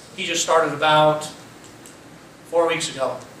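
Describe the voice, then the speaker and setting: Audible room echo and noticeable background noise are both present in this recording. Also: man. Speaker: police chief. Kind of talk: public forum update. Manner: loud.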